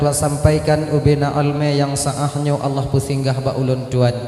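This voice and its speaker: A man's fairly high voice, monotone and flat, at a moderate pace, with noticeable background noise and audible room echo. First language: Acehnese (speaking Indonesian). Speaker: Islamic preacher. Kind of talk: sermon.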